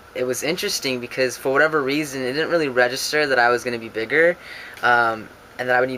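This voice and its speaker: Amid noticeable background noise, a man speaks very fast with ordinary pitch variation. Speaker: vlogger. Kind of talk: casual vlog. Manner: hesitant, many fillers.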